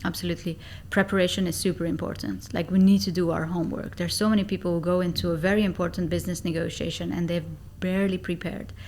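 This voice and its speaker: Flat and monotone with vocal fry, a woman talks at a very fast pace. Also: fairly low pitch for a woman. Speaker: negotiation and sales expert. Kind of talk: podcast interview.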